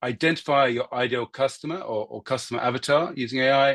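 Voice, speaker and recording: With a British accent, a man speaks at a fairly quick pace in a medium pitch with ordinary pitch variation, the sound dry and close with no echo and the background quiet. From UK. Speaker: marketing consultant giving a guest talk. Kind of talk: lecture. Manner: hesitant, many fillers.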